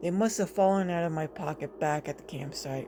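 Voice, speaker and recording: Clear background noise sits behind a put-on character voice pitched in the middle range. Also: fairly quick pace. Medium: read story.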